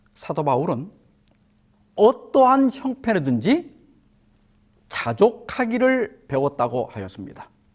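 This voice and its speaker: Very slow and full of long, frequent pauses, this man's high voice moves through very wide pitch swings. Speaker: pastor. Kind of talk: sermon.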